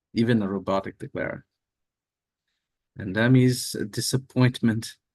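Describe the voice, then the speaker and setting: A man at a medium pitch speaks at a moderate pace with fairly even intonation and long, frequent pauses. The sound is dry and close with no echo, and his loudness swings widely. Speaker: bridge expert streamer. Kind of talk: live game commentary. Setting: livestream with screen share.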